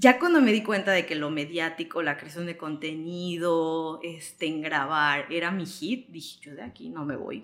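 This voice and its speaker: A woman's fairly low-pitched voice at a moderate pace, with ordinary pitch variation. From Mexico, Yucatán (Mérida). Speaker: travel content creator. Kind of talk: interview conversation.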